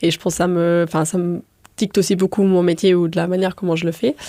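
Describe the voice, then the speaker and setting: A woman's voice with a dark, mellow tone sits at a fairly low pitch. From Luxembourg, countryside. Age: 20s. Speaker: restaurant co-owner. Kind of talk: interview conversation. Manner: hesitant, many fillers.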